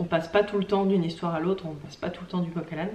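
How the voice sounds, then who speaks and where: Speaking at a very fast pace, a woman keeps a fairly low pitch and a monotone, flat intonation. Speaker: craft vlogger. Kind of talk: casual vlog talk. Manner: hesitant, many fillers.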